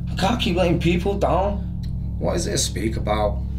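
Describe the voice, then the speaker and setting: A man talks at a moderate pace. There is noticeable background noise behind him. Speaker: spoken word poet. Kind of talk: spoken word poetry performance. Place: bathroom.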